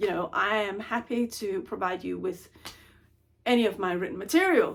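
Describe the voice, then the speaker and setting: A woman with a Danish accent speaks at a fairly slow pace. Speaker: intellectual property advisor. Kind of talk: vlog monologue. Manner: stumbles over words.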